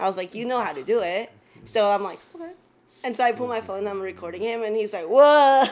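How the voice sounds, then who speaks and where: Very fast and with lively intonation, a woman talks with big swings in loudness. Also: fairly high pitch for a woman. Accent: Spanish. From Mexico, moved to the US at age nine. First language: Spanish. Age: 20s. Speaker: personal trainer. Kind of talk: casual chat.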